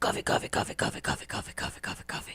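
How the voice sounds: Someone rattles off lines very fast in a raspy put-on character voice. Light background noise sits underneath.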